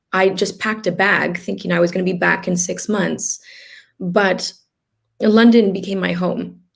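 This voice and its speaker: A woman in an American accent, medium in pitch with vocal fry, at a moderate pace with monotone, flat intonation. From US West, Los Angeles. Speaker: healer and organ donation advocate. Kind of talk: interview testimony. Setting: live stream video chat. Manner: hesitant, many fillers and repeats.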